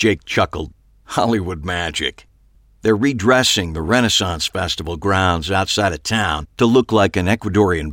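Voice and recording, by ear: Natural-voiced reading aloud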